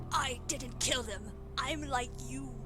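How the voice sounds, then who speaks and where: A woman does a put-on character voice over loud music in the background. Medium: game stream. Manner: flat, insistent.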